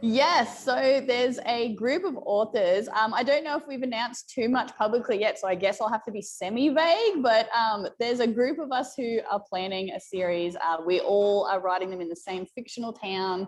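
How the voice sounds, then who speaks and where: A woman with an Australian accent, fairly high-pitched, at a moderate pace with lively intonation and hardly any pauses. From rural Australia. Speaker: romance author. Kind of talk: interview.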